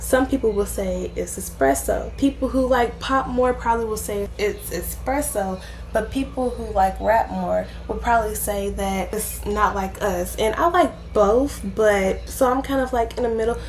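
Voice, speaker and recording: A woman talks at a moderate pace with hardly any pauses. Room echo is audible, and there is noticeable background noise. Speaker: youtuber, commentary vlogger. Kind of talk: casual vlog monologue. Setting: at home. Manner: loud, projected.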